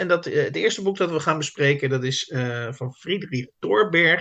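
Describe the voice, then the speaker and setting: At a moderate pace, a fairly high-pitched man talks in an unremarkable speaking voice. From South Holland, Netherlands. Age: 50s. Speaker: literary podcast host. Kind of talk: casual chat. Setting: video call.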